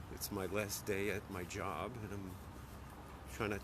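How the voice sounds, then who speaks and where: A man's fairly low voice with an American accent, at a moderate pace with fairly even intonation, amid audible room echo. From New York City, the Bronx. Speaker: office worker vlogging his commute. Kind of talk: casual live-stream walking commentary. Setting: outdoors walking in city streets. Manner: casual, halting with fillers.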